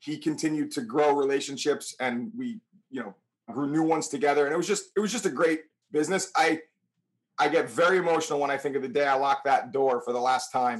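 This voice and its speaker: Very fast and fairly high-pitched, a man talks with an American accent and lively intonation. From New Milford, Connecticut, US. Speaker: realtor. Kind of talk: interview.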